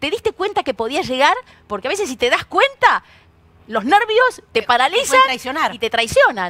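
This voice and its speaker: Raised, projected voice with a bright, sharp tone and very wide pitch swings, at a moderate pace in a dry, close sound with no echo. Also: woman. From Argentina. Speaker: radio host. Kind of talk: casual chat.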